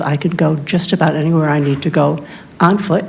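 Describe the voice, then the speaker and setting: A woman's very deep, low voice at a moderate pace, fairly even in intonation, with noticeable background noise. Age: 70s. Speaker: public commenter, retired librarian. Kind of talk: public comment at township meeting.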